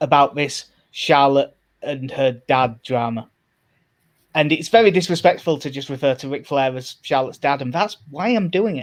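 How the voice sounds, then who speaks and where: A man speaks in a Yorkshire accent. His pace is moderate and his pitch varies in an ordinary way. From Yorkshire, northern England. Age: 30s. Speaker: wrestling podcast co-host. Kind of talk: casual chat.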